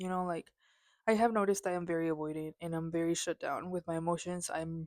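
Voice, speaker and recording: A woman's fairly low voice, very fast and monotone with flat intonation, in a very clean recording with a silent background. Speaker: vlogger. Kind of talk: casual vent monologue.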